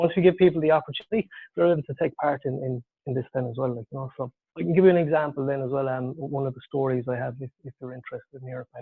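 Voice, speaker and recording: An Irish-accented man speaks very fast at a fairly high pitch. His loudness swings widely. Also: ordinary pitch variation. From Ireland. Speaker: tech founder, engineer and parent. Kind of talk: webinar presentation. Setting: online webinar.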